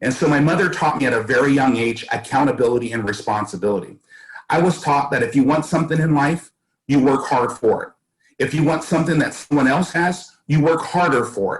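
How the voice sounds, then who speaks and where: A man's somewhat breathy, fairly high voice with an American accent, very even loudness, ordinary pitch variation and a fairly quick pace. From US West Coast, East Oakland, California. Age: 60s. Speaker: school board candidate. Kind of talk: interview.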